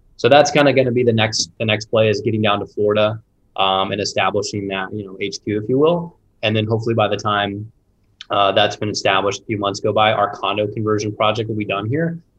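A man with an American accent at a fairly low pitch, ordinary pitch variation and a very fast pace. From Indianapolis, US Midwest. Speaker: real estate investor. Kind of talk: casual interview.

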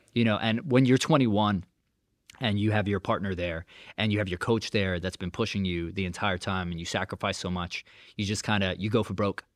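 Speaking with a New York accent, a man with a fairly low pitch talks at a fairly quick pace with fairly even intonation, in a dry, close sound with no echo on a very clean recording with a silent background. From Brooklyn, New York. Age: 30s. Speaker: sports massage therapist. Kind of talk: casual chat. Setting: in his massage studio.

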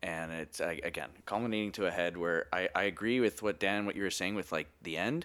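A man with a Canadian accent and a plain, everyday voice, fairly low in pitch with ordinary variation, on a very clean recording with a silent background. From Edmonton, Canada. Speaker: guest. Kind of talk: casual chat.

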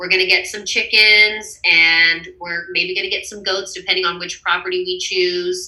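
Amid audible room echo, a woman speaks at a medium pitch with fairly even intonation. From Texas. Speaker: singer-songwriter. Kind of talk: casual interview.

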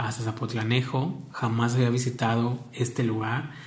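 The speech comes at a moderate pace, with audible room echo and noticeable background noise. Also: man. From Mexico, Michoacán (Apatzingán). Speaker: podcast host, fashion platform founder. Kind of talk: personal monologue.

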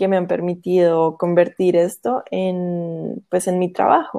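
Very slow delivery in a dark, mellow tone, the intonation fairly even. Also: woman. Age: 20s. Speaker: cooking content creator. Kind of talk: interview conversation. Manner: hesitant fillers.

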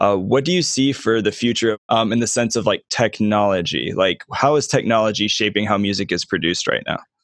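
Against a quiet background, a man talks fairly quickly at a medium pitch in a normal speaking voice. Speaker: podcast host. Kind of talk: casual chat.

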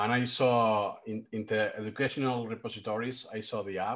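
An ordinary speaking voice from a man at a medium pitch, with ordinary pitch variation and a moderate pace. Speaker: language learner. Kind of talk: casual chat.

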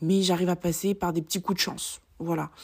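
A woman speaks with a fairly low pitch. Her intonation is flat and monotone. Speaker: student podcaster. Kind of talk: personal monologue. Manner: halting. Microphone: poor microphone quality.

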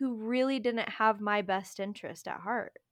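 Against a quiet background, a woman with an American accent speaks at a fairly high pitch with ordinary pitch variation. Her tone is bright and sharp. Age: 20s. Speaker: podcast co-host. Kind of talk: casual chat.

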